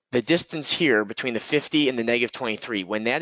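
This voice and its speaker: A man talks in a normal speaking voice, keeping a medium pitch and ordinary pitch variation. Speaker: trading educator. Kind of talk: live trading webinar commentary. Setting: online webinar.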